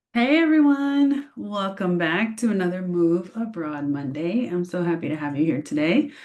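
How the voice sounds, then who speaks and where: Barely pausing, a woman speaks at a medium pitch with very wide pitch swings. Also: moderate pace. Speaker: expat lifestyle vlogger. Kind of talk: casual vlog talk to camera.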